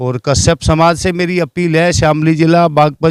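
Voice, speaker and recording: A man speaks in a dry, close sound with no echo. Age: 60s. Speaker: community member, political supporter. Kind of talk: interview. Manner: halting.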